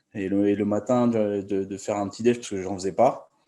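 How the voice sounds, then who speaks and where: Here a man talks with a dark, mellow tone at a fairly low pitch. His intonation is fairly even and his pace fairly quick. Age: 30s. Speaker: coaching client. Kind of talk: testimonial interview. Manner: halting.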